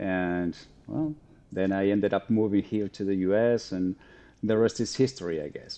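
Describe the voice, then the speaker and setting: Against a quiet background, a man speaks with a fairly low pitch, a dark, mellow tone, and ordinary pitch variation. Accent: Spanish. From Argentina. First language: Spanish. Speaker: psychotherapist. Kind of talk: interview. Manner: halting, with many repeated words.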